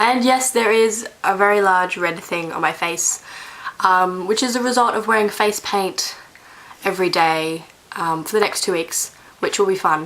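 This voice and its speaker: A woman speaks at a moderate pace while noticeable background noise runs underneath. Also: medium pitch for a woman, ordinary pitch variation. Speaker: vlogger. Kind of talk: casual vlog monologue. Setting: bedroom. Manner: rambling, hesitant.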